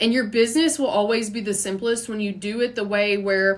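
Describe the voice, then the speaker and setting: A woman talks at a fairly quick pace with a Kentucky accent. Her pitch varies in an ordinary way. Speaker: podcast host, entrepreneur. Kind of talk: unscripted solo podcast monologue. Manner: fast; casual, conversational.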